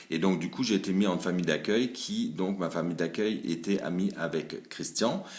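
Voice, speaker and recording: A man's very deep, low voice at a moderate pace with hardly any pauses. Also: ordinary pitch variation. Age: 40s. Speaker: salesman. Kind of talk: casting video.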